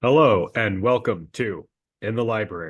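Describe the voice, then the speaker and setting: Putting on a character voice, a man speaks at medium pitch and a moderate pace with lively intonation. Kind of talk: professional, polished.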